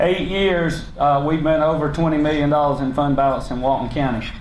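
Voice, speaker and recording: Speaking fairly quickly with a Southern US accent, a man with a fairly high pitch keeps a monotone, flat intonation amid audible room echo and noticeable background noise. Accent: Southern US (Georgia). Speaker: county government leader. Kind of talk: public speech. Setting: luncheon meeting with audience. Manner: loud; unscripted, halting with fillers.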